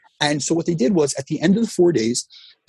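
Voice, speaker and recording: A man's somewhat breathy voice with a dark, mellow tone and lively intonation, with an American accent, in a dry, close sound with no echo. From US Northeast, New Jersey. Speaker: fitness coach. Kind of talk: interview.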